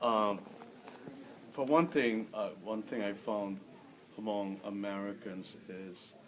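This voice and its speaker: A man with a fairly low pitch talks at a very slow pace, with long, frequent pauses and ordinary pitch variation. Noticeable background noise and audible room echo are present. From Philippines (Manila). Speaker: immigrant interviewee. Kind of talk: interview.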